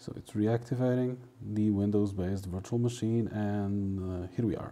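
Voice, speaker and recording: With a dark, mellow tone, a man speaks at a fairly low pitch and with fairly even intonation. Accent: Portuguese. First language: Portuguese. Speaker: translator. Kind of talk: tutorial. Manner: casual, hesitant with fillers.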